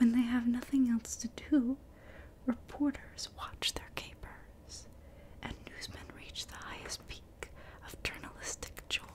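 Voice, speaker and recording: Someone whispers in a gentle tone at a fairly slow pace over noticeable background noise. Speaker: ASMR content creator. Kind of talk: ASMR storytime, children's book read aloud. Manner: whispered, soft-spoken, gentle.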